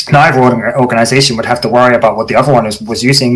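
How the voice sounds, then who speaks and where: Somewhat breathy, a man at a medium pitch speaks at a very fast pace. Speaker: security conference speaker. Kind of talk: technical talk.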